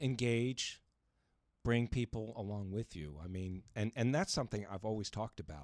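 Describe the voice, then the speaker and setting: An unremarkable speaking voice from a man, fairly low in pitch, moves at a moderate pace with lively intonation, recorded very cleanly with a silent background and a dry, close sound free of echo. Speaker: radio host. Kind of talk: radio interview.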